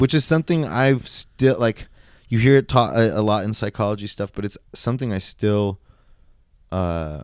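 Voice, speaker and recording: A man with an American accent and a plain, everyday voice, fairly low in pitch, with lively intonation at a moderate pace. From rural Montana, US. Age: 30s. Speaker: podcast guest, martial artist raised in a pastor's family. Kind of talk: casual conversation. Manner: informal, filler-heavy with many likes.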